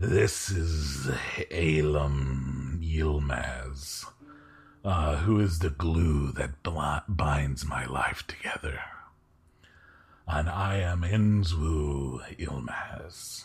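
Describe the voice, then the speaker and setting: A man puts on a character voice pitched very deep and low. He speaks very slowly, with long, frequent pauses. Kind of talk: archaic formal speech. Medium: actual play. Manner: slow, formal, courteous.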